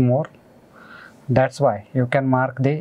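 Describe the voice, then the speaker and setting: The pace of this man's speech is fairly slow. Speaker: engineering lecturer. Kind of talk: lecture.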